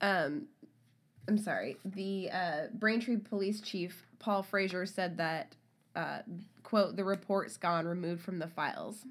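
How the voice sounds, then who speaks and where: A woman with an ordinary speaking voice talks at a fairly slow pace in a medium pitch with ordinary pitch variation, on a very clean recording with a silent background. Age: 30s. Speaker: true crime podcast co-host. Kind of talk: casual chat with read-out case notes.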